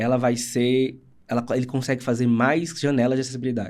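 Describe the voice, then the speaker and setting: A man at a medium pitch in a very clean recording with a silent background. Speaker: accessibility audiovisual producer. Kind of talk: casual interview chat. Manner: fast.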